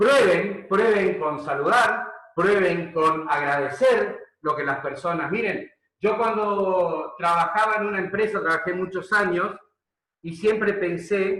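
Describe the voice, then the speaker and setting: A man with a high pitch and ordinary pitch variation speaks at a very slow pace. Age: 60s. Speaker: leadership coach. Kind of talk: webinar lecture. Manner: hesitant, many fillers.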